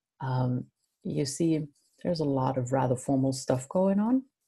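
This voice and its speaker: In a quiet setting, a woman with a very deep, low pitch speaks fairly slowly with lively intonation and a dark, mellow, somewhat breathy tone. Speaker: university lecturer. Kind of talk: lecture. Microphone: webcam.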